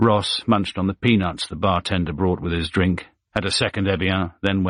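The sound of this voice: The recording has an unforced reading voice against a quiet background.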